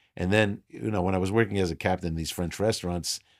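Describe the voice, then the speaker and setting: Very fast speech from a man with a New York accent, very deep and low in pitch, with fairly even intonation, on a very clean recording with a silent background. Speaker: restaurateur. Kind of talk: casual interview.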